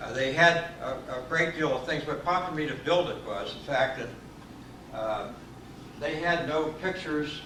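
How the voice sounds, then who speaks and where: With audible room echo and noticeable background noise, a man speaks fairly slowly at a fairly high pitch with ordinary pitch variation. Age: 80s+. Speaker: train historian and model builder. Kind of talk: talk to a community group.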